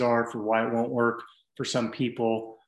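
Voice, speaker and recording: A man with an American accent talks at a fairly quick pace in an ordinary speaking voice at medium pitch. The recording is very clean, with a silent background. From US West Coast, San Francisco Bay Area. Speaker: fitness coach. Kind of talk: casual interview.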